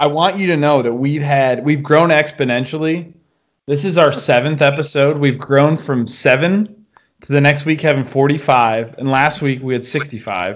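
Using a plain, everyday voice, a man with an American accent speaks at a moderate pace, fairly high in pitch with ordinary pitch variation. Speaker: podcast host. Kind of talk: casual chat.

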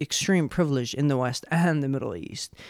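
Someone speaks with an Arabic accent on a very clean recording with a silent background. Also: man. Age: 20s. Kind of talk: casual chat.

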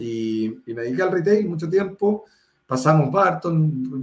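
Here is a man with a normal speaking voice. His pitch is fairly high, with ordinary pitch variation. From Chile, Viña del Mar (Valparaíso region). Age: 40s. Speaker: startup founder and CEO. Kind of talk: interview. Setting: video call.

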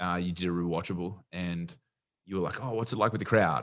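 Against a quiet background, a man with an Australian accent speaks in a very deep, low pitch with fairly even intonation. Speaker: podcast co-host. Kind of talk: casual chat.

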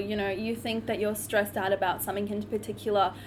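Very fast speech in an Australian accent carries audible vocal fry. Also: woman. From Cairns, Queensland, Australia. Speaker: law student, student society president. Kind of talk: casual chat.

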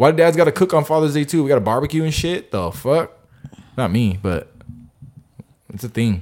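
Talking at a fairly quick pace, a man with a fairly high pitch makes very wide pitch swings and leaves long, frequent pauses. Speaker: podcast host. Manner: laid-back, joking.

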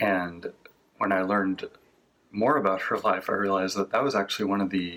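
At a moderate pace, a man speaks with a fairly low pitch. He has a normal speaking voice. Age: 40s. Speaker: congregation member. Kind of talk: sermon.

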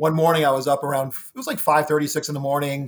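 A man's fairly high voice at a very fast pace, in a very clean recording with a silent background. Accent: American. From Ohio, US Midwest. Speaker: physician and paranormal investigator. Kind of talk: interview. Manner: halting, many fillers.

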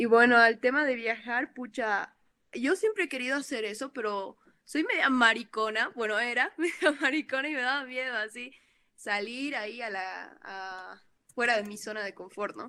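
A woman's high-pitched voice with a bright, sharp tone, ordinary pitch variation and big swings in loudness. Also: moderate pace. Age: 20s. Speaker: photographer. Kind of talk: casual chat.

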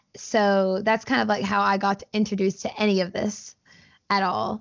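A woman speaks in a Southern US accent. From US South, Alabama (Auburn). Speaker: video game streamer. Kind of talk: casual interview chat.

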